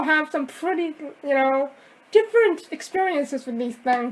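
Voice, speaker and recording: A woman with a high pitch and a fairly slow pace. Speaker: deaf vlogger. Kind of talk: casual vlog. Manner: loud.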